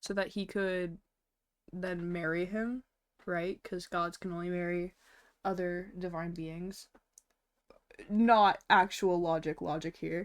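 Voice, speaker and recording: A woman mumbles at a very slow pace and a fairly low pitch, with monotone, flat intonation and long, frequent pauses. The recording is very clean, with a silent background. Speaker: VTuber streamer. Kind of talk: casual livestream chat while drawing. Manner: mumbling; frequent fillers, casual. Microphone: sounds a bit quiet.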